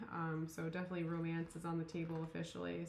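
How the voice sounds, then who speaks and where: Mumbling at a very fast pace, a woman talks in a fairly low pitch, with audible room echo in the recording. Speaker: tarot reader. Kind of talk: tarot reading monologue. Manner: mumbling, many fillers; casual, rambling.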